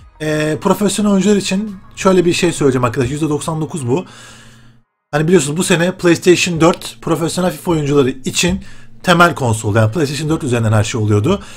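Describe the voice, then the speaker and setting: Speaking at a fairly quick pace, a man uses lively intonation at fairly high pitch. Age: 20s. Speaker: gaming YouTuber; gaming youtuber. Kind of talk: casual vlog talk to viewers. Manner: animated, conversational. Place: home room. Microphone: webcam.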